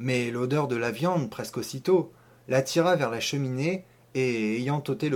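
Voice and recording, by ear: This is someone reading aloud in a natural voice. The text is simply read out.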